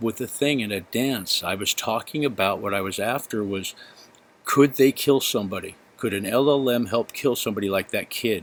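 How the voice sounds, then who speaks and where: This is an unremarkable speaking voice from a man at a medium pitch. His pitch varies in an ordinary way. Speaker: YouTuber discussing AI. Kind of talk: screen-share commentary reading chat logs. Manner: excited.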